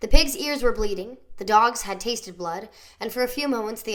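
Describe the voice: Simply plain reading aloud.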